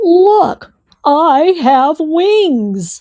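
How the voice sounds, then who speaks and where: A woman speaks in a put-on character voice pitched extremely high. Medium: read story. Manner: grand, stiff speech.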